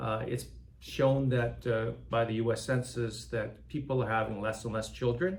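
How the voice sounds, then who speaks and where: There is audible room echo as a man speaks at a medium pitch and a moderate pace with ordinary pitch variation. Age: 60s. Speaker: nonprofit philanthropy director. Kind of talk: interview conversation.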